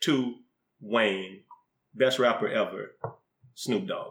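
A man with a Southern US accent at a very slow pace. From US South. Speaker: podcast co-host and rapper. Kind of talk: casual chat.

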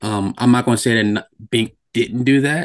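Here a man with an American accent speaks in an ordinary speaking voice at a medium pitch and a moderate pace, with fairly even intonation. The sound is dry and close, with no echo. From New Jersey. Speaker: tech worker and DJ, music fan. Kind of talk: casual chat.

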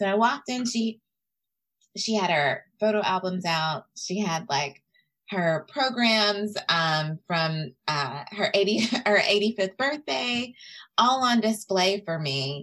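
A woman talks at a very slow pace. Her medium-pitched voice has lively intonation. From Tennessee. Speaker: history doctoral researcher. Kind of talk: interview. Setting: video call.

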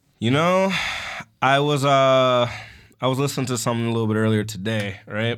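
A man talks at a fairly quick pace with ordinary pitch variation, broken by long, frequent pauses. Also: medium pitch for a man. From Detroit, Michigan. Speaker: podcast co-host. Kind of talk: casual chat.

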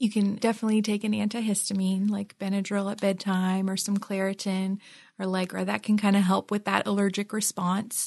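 A woman speaks at a fairly quick pace in a medium pitch, somewhat breathy and monotone with flat intonation, over a quiet background. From Philippines. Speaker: nurse practitioner. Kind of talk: health interview.

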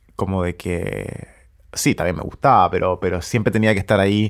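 A man talks at a fairly quick pace in a fairly low pitch, a plain, everyday voice. The recording is very clean, with a silent background. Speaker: musician and pianist. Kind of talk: interview.

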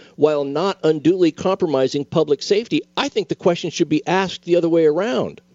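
A man with a high pitch. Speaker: attorney, co-host. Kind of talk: casual legal discussion on radio. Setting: radio studio. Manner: jokey storyteller.

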